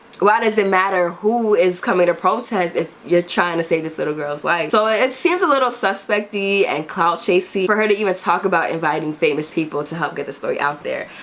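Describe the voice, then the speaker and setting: Fairly quick, medium-pitched speech from a woman, with hardly any pauses, ordinary pitch variation and noticeable background noise. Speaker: YouTube commentator. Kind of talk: casual commentary. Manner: fast; hurried.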